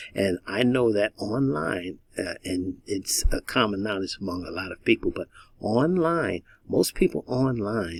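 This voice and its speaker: A man with a fairly low pitch speaks with lively intonation in a dry, close sound with no echo. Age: 60s. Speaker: online marketing coach. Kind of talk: tutorial. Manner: halting.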